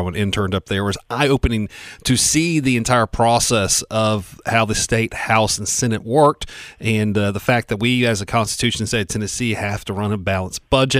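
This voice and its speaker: Here is a man with an American accent and a normal speaking voice. He talks fairly quickly, at a fairly low pitch, with fairly even intonation. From Spartanburg, South Carolina. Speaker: radio co-host. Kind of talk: casual chat. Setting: radio studio.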